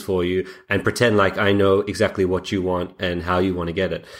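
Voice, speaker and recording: A man with a fairly low pitch and an Australian accent speaks at a fairly quick pace. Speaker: software founder. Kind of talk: interview. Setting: remote call.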